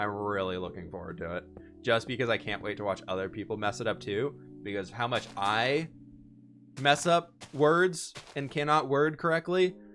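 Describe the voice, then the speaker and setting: With music in the background, a man at a medium pitch speaks at a moderate pace with very wide pitch swings. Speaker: Minecraft live streamer. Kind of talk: casual live stream chat while gaming. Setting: live stream. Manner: stutter; casual, fumbling over words.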